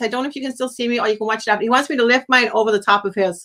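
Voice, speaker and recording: An animated, very fast woman's voice at a high pitch with ordinary pitch variation and noticeable background noise. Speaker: psychic medium. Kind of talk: live psychic reading on a call-in stream.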